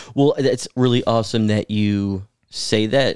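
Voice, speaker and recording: A man with an American accent speaks at a fairly low pitch. The recording is very clean with a silent background, and the sound is dry and close with no echo. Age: 20s. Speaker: city council member. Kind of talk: casual podcast interview.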